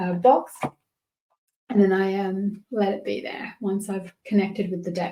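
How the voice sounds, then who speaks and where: Somewhat breathy and dark, mellow in tone, a woman with an Australian accent speaks at a medium pitch. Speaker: tarot and oracle card reader. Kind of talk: tutorial. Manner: casual, warm.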